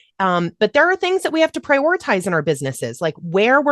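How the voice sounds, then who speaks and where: A woman speaks loudly in a dry, close recording with no echo and a quiet background. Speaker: voiceover coach. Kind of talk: online workshop. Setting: video call. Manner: fast.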